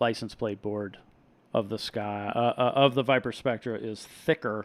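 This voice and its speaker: The speaker is a man with a mid-range pitch. He delivers his words rather slowly. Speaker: reef hobbyist live streamer. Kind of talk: live stream chat and product review. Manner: soft-spoken; casual, animated.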